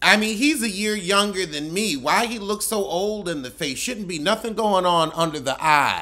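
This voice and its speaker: Speaking with hardly any pauses, a man uses a raised, projected voice at a high pitch, with a bright, sharp, animated tone and lively intonation. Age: 30s. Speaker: comedian. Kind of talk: reality TV roast commentary, mocking cast members' looks and voices. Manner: sassy, campy drawl with rhetorical questions; animated, exclamatory outbursts. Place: home room. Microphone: phone near.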